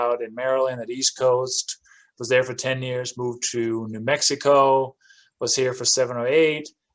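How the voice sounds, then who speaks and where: A man's medium-pitched, monotone, flat voice with a Danish accent, at a moderate pace. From Denmark. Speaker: real estate investor. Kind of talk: interview.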